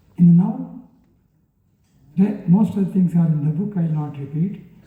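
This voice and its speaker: In a room with audible echo, a man speaks at a moderate pace with high pitch and ordinary pitch variation. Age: 80s+. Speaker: retired judge. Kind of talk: speech at a book release. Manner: halting.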